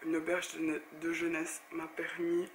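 A woman's fairly low, monotone, flat voice over noticeable background noise. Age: 30s. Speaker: blogger and YouTuber. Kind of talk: casual talk to camera.

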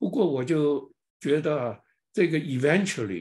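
This man sounds somewhat breathy, with lively intonation. The background is quiet. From China. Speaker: lecturer on an artist. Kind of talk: online lecture. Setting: online presentation. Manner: halting, many filler sounds. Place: home room. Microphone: webcam.

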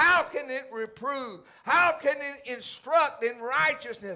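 Speaking in a raised, projected voice, a man has an extremely high pitch and a bright, sharp tone. His delivery is passionate and very slow, with ordinary pitch variation. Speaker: pastor. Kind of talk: church sermon, preaching to congregation. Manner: emphatic, passionate preaching. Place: church.

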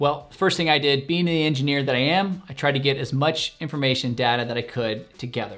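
A man at a fairly quick pace, ordinary pitch variation, faint music in the background. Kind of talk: tutorial. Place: home room.

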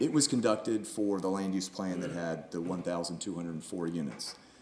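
Amid noticeable background noise, a man with a very deep, low pitch speaks at a moderate pace. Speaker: traffic engineer. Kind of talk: public meeting presentation. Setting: city commission meeting. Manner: hesitant, many filler words.

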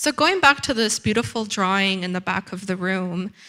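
A woman's bright, sharp voice at medium pitch against a quiet background. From Ecuador. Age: young. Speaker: curator and writer; exhibition guide or curator. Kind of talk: guided gallery tour. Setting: gallery with audience. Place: hall. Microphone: handheld.

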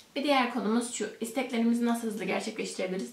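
A woman talks at a fairly quick pace. Room echo is audible. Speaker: host of a spiritual talk channel. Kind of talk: explanatory talk to camera. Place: home room.

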